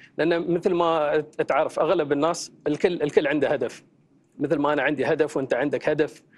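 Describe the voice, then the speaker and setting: A man's fairly high voice at a moderate pace, flat and monotone in intonation. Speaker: life coach and content creator. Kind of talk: studio interview. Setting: tv studio.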